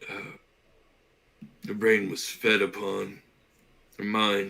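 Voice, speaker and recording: The speaker uses a raspy, put-on character voice. Delivery is very slow, with monotone, flat intonation. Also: man, fairly low pitch for a man. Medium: actual play.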